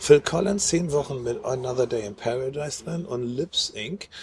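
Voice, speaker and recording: Over noticeable background noise, a man talks at a moderate pace. His pitch is fairly high and his intonation lively. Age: 50s. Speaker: podcast co-host. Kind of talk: casual chat. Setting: outdoors.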